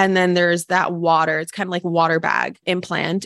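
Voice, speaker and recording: Against a quiet background, a woman with a West Coast US accent speaks in a fairly low, monotone, flat voice. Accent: General American, West Coast. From Los Angeles and western Washington, US. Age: 20s. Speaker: personal development coach. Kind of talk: casual interview.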